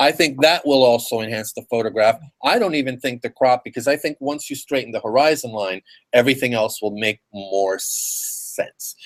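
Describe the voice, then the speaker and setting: The recording is dry and close with no echo, as a man of medium pitch talks at a moderate pace with ordinary pitch variation. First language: Spanish. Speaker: photography critique host. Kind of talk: casual critique discussion.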